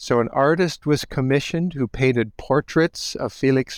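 A man with an American accent talks at a fairly slow pace in a fairly high pitch, with ordinary pitch variation, a quiet background and a dry, close sound with no echo. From US Midwest, Holmes County, Ohio. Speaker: history professor. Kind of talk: interview. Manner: halting.

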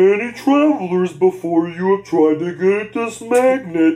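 At a fairly slow pace, a put-on character voice holds a middle pitch. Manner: theatrical, taunting.

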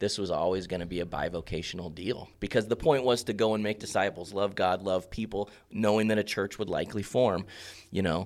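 A man talks at a fairly quick pace in a normal speaking voice, his pitch fairly low and his intonation fairly even. The recording is very clean against a silent background. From Central Oregon. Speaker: pastor. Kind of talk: casual chat.

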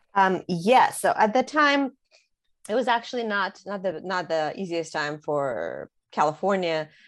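With a slight Russian accent, a woman speaks fairly slowly at medium pitch with very wide pitch swings, against a quiet background. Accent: slight Russian accent over American English. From Russia (St. Petersburg), moved to US as teenager. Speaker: author. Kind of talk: interview. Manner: halting, many fillers.

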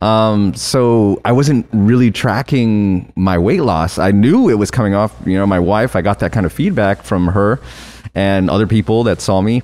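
A man's normal speaking voice, fairly low in pitch, at a moderate pace with ordinary pitch variation and very even loudness. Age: 40s. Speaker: office worker and former podcast guest. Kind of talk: casual chat.

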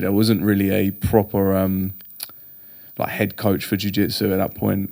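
A man with a southern English accent, a fairly low pitch, and a moderate pace. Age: 30s. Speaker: jiu-jitsu and strength coach. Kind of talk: casual chat.

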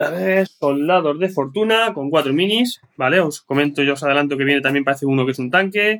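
A man with a plain, everyday voice talks fairly quickly at a fairly high pitch, with lively intonation and hardly any pauses. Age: 40s. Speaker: board game player. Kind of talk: casual chat.

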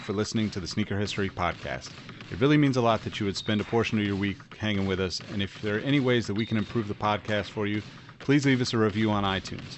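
A very fast pace with ordinary pitch variation against noticeable background noise. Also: man. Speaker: podcast host. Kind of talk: scripted intro and outro.

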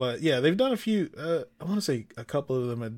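Speaking at a moderate pace with ordinary pitch variation, this is an unremarkable speaking voice. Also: man. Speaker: podcast host. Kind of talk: casual banter about gaming. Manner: casual, joking.

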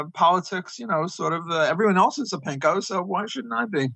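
A high-pitched man's voice with a New York accent. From US Northeast (Brooklyn, New York). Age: 70s. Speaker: economist. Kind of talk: interview. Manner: halting.

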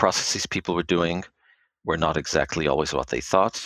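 A man with an American accent speaks with a very deep, low pitch and fairly even intonation, recorded very cleanly against a silent background with a dry, close sound and no echo. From Israel and United States. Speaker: pharma quality assurance executive. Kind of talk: interview.

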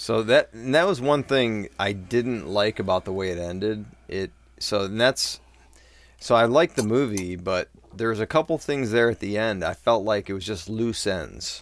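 A man speaks in an ordinary speaking voice at a fairly low pitch for a man, with ordinary pitch variation and a moderate pace, on a very clean recording with a silent background. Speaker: film podcast host. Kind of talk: casual movie discussion over drinks.

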